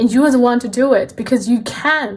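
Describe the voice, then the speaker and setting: In a non-native accent, a woman talks at a fairly quick pace with fairly even intonation. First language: not English. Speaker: tarot card reader. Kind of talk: tarot reading. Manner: casual, conversational.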